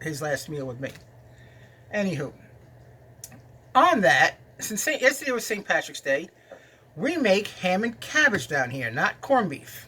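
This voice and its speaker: A man speaks in a New York accent at a moderate pace. His tone is bright and sharp. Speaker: cooking video host. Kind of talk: casual storytelling and cooking chat. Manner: halting, with fillers.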